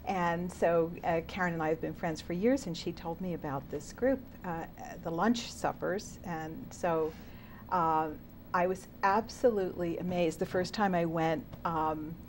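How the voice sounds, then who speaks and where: Here a woman speaks in a normal speaking voice, fairly low in pitch. She goes at a fairly slow pace, with ordinary pitch variation. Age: 60s. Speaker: program member. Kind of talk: interview.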